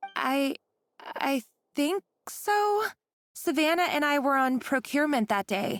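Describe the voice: In a put-on character voice, a woman speaks at a high pitch with big pitch swings, a fairly bright tone and a fairly slow pace, in a dry, close sound with no echo.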